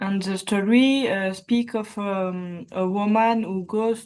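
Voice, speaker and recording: A woman's voice with a French accent and ordinary pitch variation. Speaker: participant. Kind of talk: casual chat. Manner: halting.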